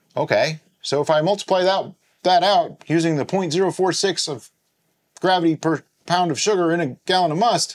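The voice belongs to a man. Its pitch is high, with ordinary variation. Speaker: home winemaking channel host. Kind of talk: tutorial. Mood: playful, puzzled. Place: home room.

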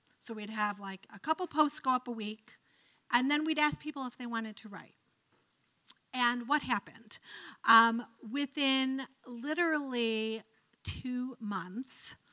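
Over a quiet background, a woman with an American accent speaks fairly slowly in a high, bright, sharp voice with ordinary pitch variation and long, frequent pauses. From Cleveland, Ohio, US; Ohio. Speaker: professor of religious studies; guest lecturer. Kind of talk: lecture. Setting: lecture hall with audience. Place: hall. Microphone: handheld.

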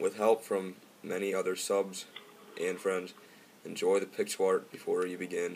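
Simple, plain reading aloud

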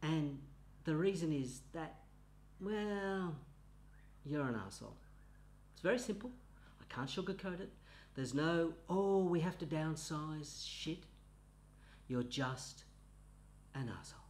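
Speaking at a fairly slow pace, a man uses lively intonation, big swings in loudness and long, frequent pauses. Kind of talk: comedic monologue.

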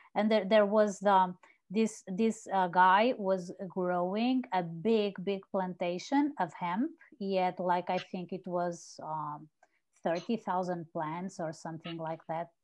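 A woman with a Portuguese accent at a very slow pace, ordinary pitch variation, and a quiet background. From Portugal. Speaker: journalist and conference organizer; journalist. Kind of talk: casual chat. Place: home room. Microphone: earbuds.

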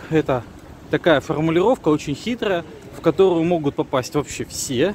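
Light background noise sits behind a man with a fairly high pitch. He talks at a moderate pace with lively intonation. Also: dry sound with no echo. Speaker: civic activist video blogger. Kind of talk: video commentary. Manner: hesitant with fillers. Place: street. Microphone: phone near.

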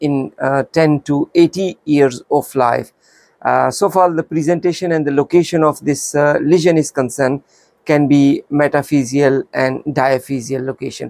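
A man at a moderate pace, fairly even intonation, quiet background. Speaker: radiology teacher. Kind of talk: lecture. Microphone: lapel.

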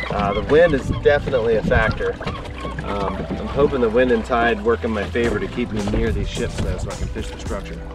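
A man speaks at a fairly quick pace. The sound is dry with no echo, and clear music plays in the background. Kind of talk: casual vlog chat. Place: boat. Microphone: phone near.

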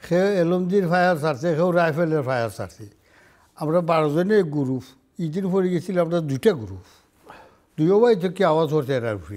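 A man's fairly high voice with a strong Sylheti accent, lively intonation and a quiet background. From Bangladesh, Sunamganj (Sylhet region); Bangladesh. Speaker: war veteran; interview guest. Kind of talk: interview. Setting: studio. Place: studio.

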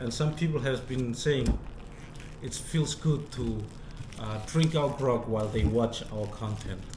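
A man at a fairly slow pace, with ordinary pitch variation, long, frequent pauses and noticeable background noise. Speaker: vlogger presenting a sponsor product. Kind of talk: casual vlog sponsor talk. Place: home room. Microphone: camera far.

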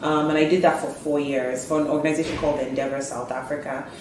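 Delivered very fast in a monotone, flat intonation, the speech has audible room echo and noticeable background noise. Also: woman. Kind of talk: interview answer. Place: office.

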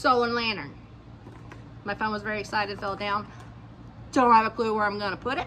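Over light background noise, a woman talks at a fairly quick pace with ordinary pitch variation and long, frequent pauses. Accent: Georgia. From southern Georgia, US South. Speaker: lifestyle YouTuber, dog grooming business owner; lifestyle YouTuber. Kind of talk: casual haul video monologue. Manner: animated. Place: garden. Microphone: phone near.

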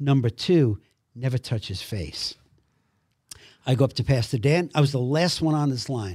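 A man's fairly high voice with ordinary pitch variation at a moderate pace, on a very clean recording with a silent background. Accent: Brooklyn. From Brooklyn, New York. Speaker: actor. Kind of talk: testimony. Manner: animated.

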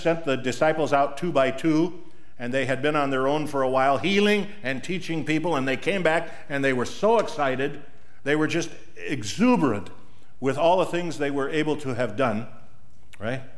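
The pace is moderate. This man's pitch moves in an ordinary way. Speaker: pastor. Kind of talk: sermon. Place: church.

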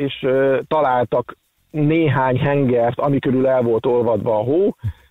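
The recording is dry with no echo, and the background is quiet. A man talks at a fairly slow pace with fairly even intonation. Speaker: expert guest (doctor). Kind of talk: casual chat, explaining news. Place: studio.

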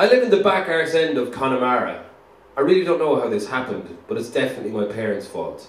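Speaking at a very fast pace, a man with a fairly high pitch swings very widely up and down, with audible echo in the room. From Ireland. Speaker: reader of a book. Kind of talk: dramatic diary reading. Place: studio.

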